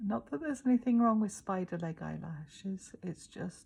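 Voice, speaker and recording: A woman speaks at a fairly slow pace in a medium pitch. Her tone is dark and mellow, and somewhat breathy. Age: 60s. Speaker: makeup tutorial presenter. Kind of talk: casual talk to camera. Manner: self-deprecating, hesitant.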